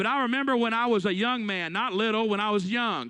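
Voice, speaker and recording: Very fast and animated, a man speaks at a high pitch with a bright, sharp tone over a quiet background. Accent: Alabama. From Alabama. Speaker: youth conference speaker. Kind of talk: sermon. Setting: stage with audience. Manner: animated, storytelling.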